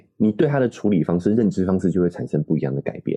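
A man's very deep, low voice with a dark, mellow tone, very wide pitch swings and a very fast pace, in a dry, close sound with no echo. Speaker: parenting podcast co-host. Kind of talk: casual chat.

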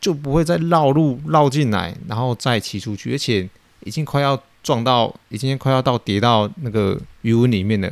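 His speed is neither fast nor slow. The man's pitch sits in the middle of his range. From Taiwan. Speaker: podcast host, fish farmer. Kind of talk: casual monologue, storytelling. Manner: hesitant, many fillers.

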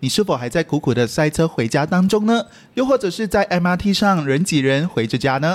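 A man with a Malaysian accent speaks at a moderate pace in a high voice, with very wide pitch swings but very even loudness. The recording is very clean, with a silent background. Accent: Malaysian Mandarin. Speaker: podcast host and video producer. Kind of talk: mock sponsor intro read; casual chat.

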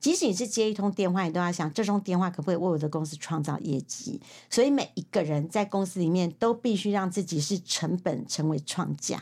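Speaking in a Taiwanese accent, a woman uses a medium pitch and lively intonation at a fairly quick pace with hardly any pauses. The recording is very clean, with a silent background. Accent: Taiwanese Mandarin. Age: 50s. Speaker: secretarial association head and author. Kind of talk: interview.

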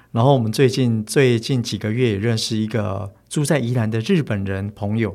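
Heard on a very clean recording with a silent background, a man in a plain, everyday voice speaks at a moderate pace and medium pitch with ordinary pitch variation. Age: 40s. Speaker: bookstore owner, former forest ranger. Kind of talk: casual interview chat.

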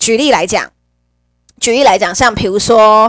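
The sound is dry and close, with no echo at all. Her delivery as a woman is animated. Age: 30s. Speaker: podcast host. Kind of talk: casual monologue. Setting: home.

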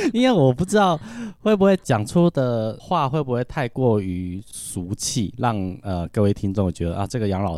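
A man's dark, mellow tone at a moderate pace, with lively intonation. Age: 40s. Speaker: music teacher. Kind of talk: casual chat.

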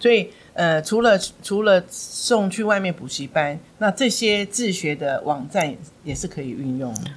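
Noticeable background noise sits behind a woman at medium pitch whose voice makes very wide pitch swings. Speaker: former school principal and English education director. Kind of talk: interview on parenting and English learning.

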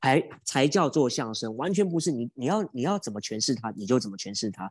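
A man with a Taiwanese accent talks at a moderate pace in a dark, mellow tone, with very wide pitch swings. The sound is dry and close with no echo, over a quiet background. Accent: Taiwanese Mandarin. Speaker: stage comedy performer. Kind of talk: casual interview. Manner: animated, talkative.

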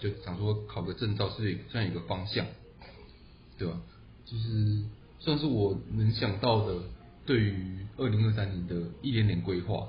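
A man with a fairly low pitch and vocal fry talks at a fairly slow pace, using ordinary pitch variation. His speech has long, frequent pauses, and the room echo is audible. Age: 20s. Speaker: podcast co-host, engineer. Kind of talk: casual chat.

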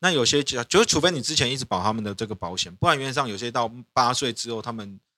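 Very fast and lively in intonation, a man's medium-pitched voice has a bright, sharp tone and a dry, close sound with no echo. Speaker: lawyer podcast host. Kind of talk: casual chat.

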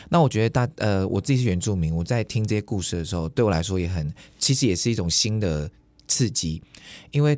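Fairly quick, lively intonation from a man with a plain, everyday voice and fairly low pitch. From Taiwan. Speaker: YouTuber and musician. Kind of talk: casual interview.

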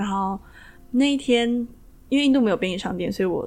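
Very fast speech from a woman, pitch shifting in an ordinary way. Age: 20s. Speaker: kundalini yoga teacher. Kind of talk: interview.

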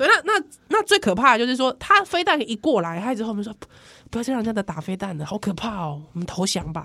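In a bright, sharp, animated tone, a woman with a Taiwanese accent speaks at a very fast pace, with very wide pitch swings. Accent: Taiwanese Mandarin. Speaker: podcast host. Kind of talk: casual chat.

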